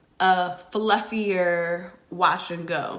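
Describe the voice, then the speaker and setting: With ordinary pitch variation, a woman talks in a room with audible echo. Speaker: natural hair vlogger. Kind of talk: hair tutorial vlog. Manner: casual, chatty.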